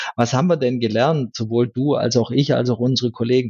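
Fairly quick, monotone and flat speech from a man. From rural Germany. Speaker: IT strategist. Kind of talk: interview. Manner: repeats words often.

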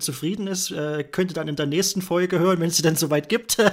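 With fairly even intonation, a man talks in a high voice. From Thuringia, Germany. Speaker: podcast host, web developer. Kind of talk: casual chat.

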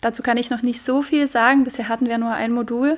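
A woman talks at a fairly quick pace. Her pitch is fairly high and her intonation monotone and flat. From Poland. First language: Polish (speaking German). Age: 20s. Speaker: university student. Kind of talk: interview.

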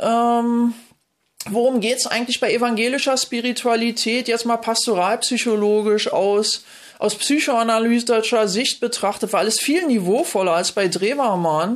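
Fairly slow speech from a woman, fairly high in pitch, with ordinary pitch variation. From East Berlin, Germany. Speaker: theology professor and mysticism coach. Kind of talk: interview. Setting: video call. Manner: animated.

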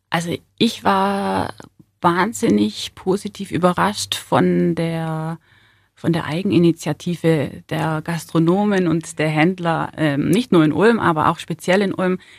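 Her fairly low pitch moves in very wide swings as this woman speaks at a very slow pace, in a very clean recording with a silent background and a dry, close sound with no echo. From southern Germany, Ulm (Swabia). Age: 30s. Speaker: city centre manager. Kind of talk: interview. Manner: hesitant with many fillers.

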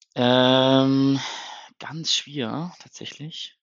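A man's voice at medium pitch. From northern Germany, Hannover. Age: 30s. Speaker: football fan podcaster. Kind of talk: casual chat. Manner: halting, many fillers.

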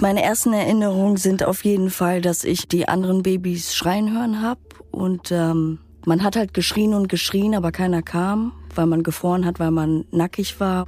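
A woman at medium pitch with very even loudness, amid noticeable background noise. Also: fairly even intonation, moderate pace. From Romania, raised in Germany. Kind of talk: testimony.

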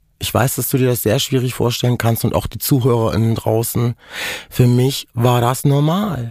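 Here a man speaks at a moderate pace. His pitch sits in the middle range. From Germany. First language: Romani (speaking German). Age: 40s. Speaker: dental hygienist, author and activist. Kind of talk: personal testimony interview. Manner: animated.

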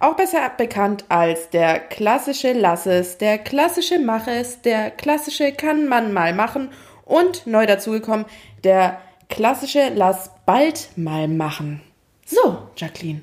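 Against noticeable background noise, a woman with a fairly high voice speaks very slowly, her pitch swinging very widely. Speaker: podcast co-host. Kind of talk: casual chat. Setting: home recording, echoey room.

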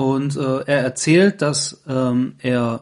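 Here a man speaks. His pitch is fairly high. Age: 30s. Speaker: podcast host. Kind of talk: casual chat. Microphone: laptop recording.

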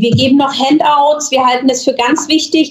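With noticeable background noise behind her, a woman speaks in a high voice. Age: 40s. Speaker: real estate agent, agency owner. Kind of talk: podcast interview. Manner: hesitant, many filler sounds.

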